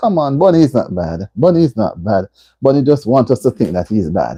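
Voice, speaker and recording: A woman with a Jamaican accent. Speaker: livestream host. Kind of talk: casual chat. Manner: animated; loud.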